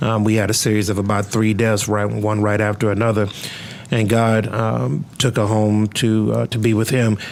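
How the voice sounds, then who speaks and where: Fairly low-pitched male speech with an American accent and fairly even intonation, over noticeable background noise. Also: moderate pace, very even loudness. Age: 40s. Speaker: pastor and podcast host. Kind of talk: casual interview. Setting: studio.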